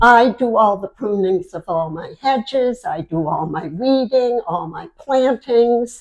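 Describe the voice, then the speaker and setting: The speaker talks at a fairly slow pace with hardly any pauses, making very wide pitch swings and big swings in loudness. The background is quiet. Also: woman, fairly high pitch for a woman. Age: 70s. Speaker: chiropractic patient. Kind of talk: interview answer.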